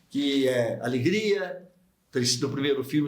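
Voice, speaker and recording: A man's fairly high voice carries lively intonation at a moderate pace. Audible room echo surrounds his speech. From Brazil, Barbacena, Minas Gerais. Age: 70s. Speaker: psychiatrist and medical professor. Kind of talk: radio interview.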